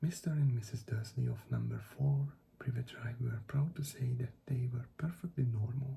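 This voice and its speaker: The speaker talks at a fairly slow pace in a non-native accent, somewhat breathy. The tone is dark and mellow, with ordinary pitch variation. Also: man. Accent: non-native accent, self-described as poor. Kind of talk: ASMR audiobook reading.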